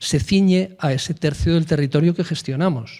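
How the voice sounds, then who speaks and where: A man's dark, mellow voice at a fairly high pitch. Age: old. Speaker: forest administration official. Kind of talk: panel discussion. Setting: round table with audience. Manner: emphatic.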